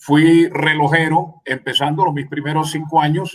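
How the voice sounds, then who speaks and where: The man's voice comes across as somewhat breathy. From Colombian Caribbean coast, Magdalena. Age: 60s. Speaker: sports radio commentator. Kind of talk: radio interview.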